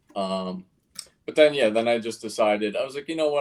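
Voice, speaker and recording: Speaking with a New York accent, a man keeps his intonation fairly even. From Queens, New York. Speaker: cartoonist. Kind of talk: casual interview. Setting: live stream. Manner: halting, many fillers.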